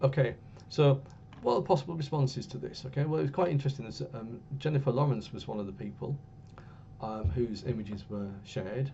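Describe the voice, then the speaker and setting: A man with an English accent, talking at a very fast pace with vocal fry. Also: medium pitch for a man, ordinary pitch variation. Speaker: university lecturer. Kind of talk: lecture. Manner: hesitant, many fillers. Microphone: a bit quiet.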